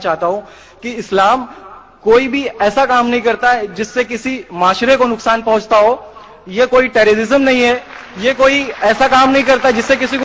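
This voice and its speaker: A man talks at a moderate pace and with fairly even intonation while noticeable background noise carries on. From eastern Uttar Pradesh, Kanpur. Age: 20s. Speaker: audience member asking a question. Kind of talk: public testimony at Q&A. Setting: event hall with audience mic.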